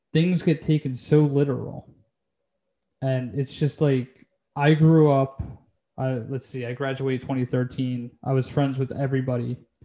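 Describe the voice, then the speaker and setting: A man speaks fairly slowly at a medium pitch with fairly even intonation. His tone is dark and mellow. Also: long, frequent pauses. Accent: Philadelphia. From Delaware County, Pennsylvania. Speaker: podcast host. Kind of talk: casual chat.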